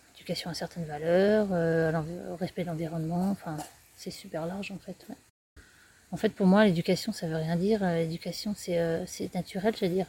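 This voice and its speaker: Her voice is somewhat breathy, with fairly low pitch, a dark, mellow tone, fairly even intonation and a moderate pace. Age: 40s. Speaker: eco-tourism project founder. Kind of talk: interview. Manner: hesitant.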